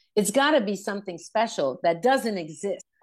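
With a Quebec accent and lively intonation, a woman speaks at a moderate pace in a quiet background. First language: French. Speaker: rock singer. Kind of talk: interview.

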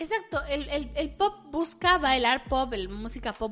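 Here a woman talks at a moderate pace with lively intonation. She has an unremarkable speaking voice. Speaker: podcast co-host. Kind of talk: casual chat.

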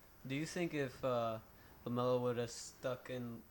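A man speaks at a medium pitch with fairly even intonation. It is an unremarkable speaking voice. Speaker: sports podcast co-host. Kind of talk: casual sports banter.

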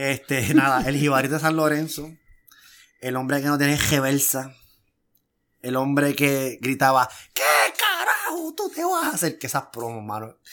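The recording is very clean, with a silent background. A man with a fairly high pitch talks at a moderate pace, using ordinary pitch variation. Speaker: wrestling podcast co-host. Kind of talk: casual chat.

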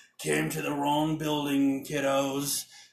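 A man uses a put-on character voice that is gruff and fairly high. He goes at a fairly slow pace with monotone, flat intonation. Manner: menacing, taunting.

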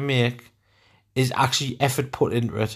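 In a very clean recording with a silent background, a man with a northern English accent talks at a moderate pace. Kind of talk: casual chat. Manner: loud.

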